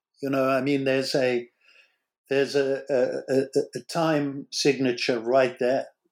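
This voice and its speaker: An American accent in monotone, flat intonation at a fairly slow pace, with long, frequent pauses. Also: man, medium pitch for a man. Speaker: psychoanalyst and author, former rock musician. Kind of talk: academic interview discussion.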